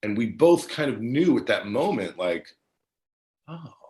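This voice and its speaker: A man's fairly high voice in an American accent, with vocal fry and very wide pitch swings. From New Jersey. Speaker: actor. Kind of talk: casual interview.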